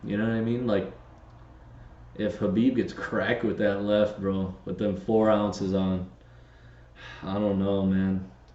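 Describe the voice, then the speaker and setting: A man with a fairly low voice talks at a fairly slow pace, leaving long, frequent pauses, with audible room echo around him. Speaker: podcast co-host. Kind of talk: casual chat. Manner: animated.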